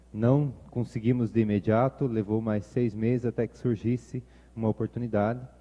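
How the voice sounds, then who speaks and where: A man with a strong Paraná accent, medium pitch and a moderate pace. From Ponta Grossa, Paraná, Brazil. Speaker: pastor. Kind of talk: sermon.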